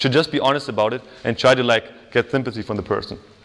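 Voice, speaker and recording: A man is speaking. He has a German accent. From Germany. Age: 20s. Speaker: psychology student and workshop speaker. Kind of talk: workshop talk. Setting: stage with audience. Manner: casual, filler-heavy.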